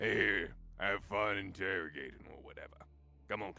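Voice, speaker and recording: This is a put-on character voice with a raspy edge. Its pitch variation is ordinary. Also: man, fairly low pitch for a man, moderate pace. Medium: actual play. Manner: gleeful, brutish.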